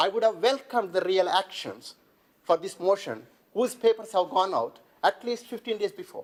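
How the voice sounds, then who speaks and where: A man with a non-native accent, very wide pitch swings and a moderate pace. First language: not English. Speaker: local councillor. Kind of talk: council debate speech. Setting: council chamber.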